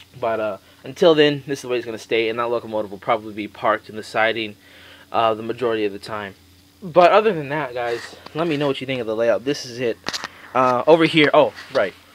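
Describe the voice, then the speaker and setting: Very fast talk from a man at medium pitch, with big swings in loudness, ordinary pitch variation, and noticeable background noise. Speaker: model railroad hobbyist. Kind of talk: casual video tour. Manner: halting.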